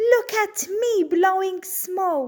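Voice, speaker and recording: A woman uses a put-on character voice. Her pitch is extremely high. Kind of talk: bedtime story. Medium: read story. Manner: excitable, showing off.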